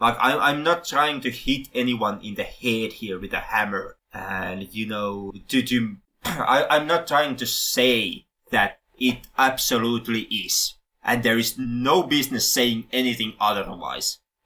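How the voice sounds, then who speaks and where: A man with a Finnish accent, bright and sharp in tone, at a fairly slow pace with ordinary pitch variation. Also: medium pitch for a man. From Finland. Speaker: film podcast host. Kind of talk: casual podcast discussion. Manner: halting, many self-corrections.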